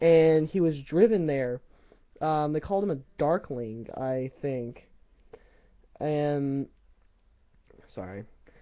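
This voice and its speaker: A very slow pace broken by long, frequent pauses. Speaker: book vlogger. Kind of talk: casual book review. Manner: halting, many fillers.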